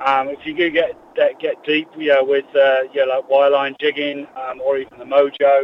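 A man talks with an English accent at a moderate pace. His intonation stays monotone and flat. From England. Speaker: tackle shop staff. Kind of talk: casual interview.

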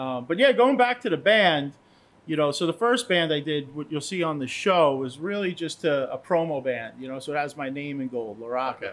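With lively intonation and an ordinary speaking voice, a man talks at a fairly quick pace on a very clean recording with a silent background. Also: fairly high pitch for a man. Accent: American. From US Northeast, Long Island, New York. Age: 50s. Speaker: cigar brand owner. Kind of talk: casual chat.

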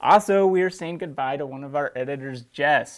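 A man with an ordinary speaking voice at a fairly quick pace. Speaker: hunting show host. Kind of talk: casual chat.

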